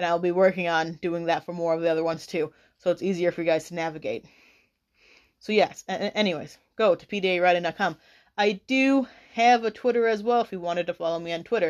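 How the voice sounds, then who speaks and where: Against a quiet background, a woman with a normal speaking voice talks at a fairly quick pace and fairly low pitch. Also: ordinary pitch variation. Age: 20s. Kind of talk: casual commentary.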